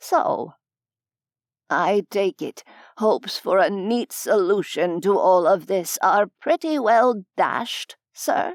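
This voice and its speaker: A female-sounding voice at medium pitch does a put-on character voice at a very slow pace, recorded very cleanly against a silent background. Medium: read story. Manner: formal, polite.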